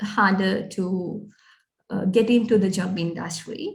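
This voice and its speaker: A woman talks at a very slow pace with a somewhat breathy voice. Her intonation stays fairly even. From Sri Lanka. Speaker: recent graduate, aspiring business analyst. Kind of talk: interview. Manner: halting, many fillers.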